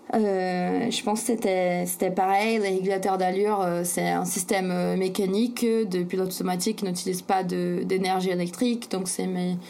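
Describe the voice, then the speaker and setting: A woman talks at a moderate pace and medium pitch, in a flat monotone with very even loudness and hardly any pauses. Noticeable background noise runs underneath. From Brazil, São Paulo. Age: 20s. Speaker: sailor and author. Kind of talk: interview. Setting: remote call. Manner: hesitant, many fillers.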